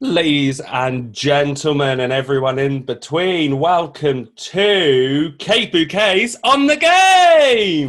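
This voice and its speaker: Speaking very slowly with hardly any pauses, a man with a British accent uses a fairly high pitch and lively intonation. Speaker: drag queen game show host. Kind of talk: live streamed comedy game show. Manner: halting.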